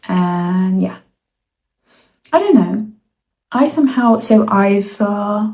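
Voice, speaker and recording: A woman speaks very slowly with long, frequent pauses, her medium-pitched voice somewhat breathy with a dark, mellow tone and ordinary pitch variation. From Russia. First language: Russian. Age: 20s. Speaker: student. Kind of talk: casual talk to camera.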